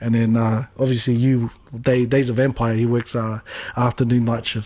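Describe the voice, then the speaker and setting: A man at medium pitch and a moderate pace, with monotone, flat intonation. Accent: New Zealand. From New Zealand. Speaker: podcast co-host. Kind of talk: casual chat. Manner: halting.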